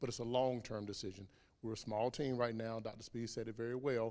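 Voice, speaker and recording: A man with a Southern US accent talks at a very fast pace in a medium pitch with flat, monotone intonation. His tone is dark and mellow, and the recording is very clean with a silent background. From South Carolina, US South. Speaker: HR director. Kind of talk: public Q&A.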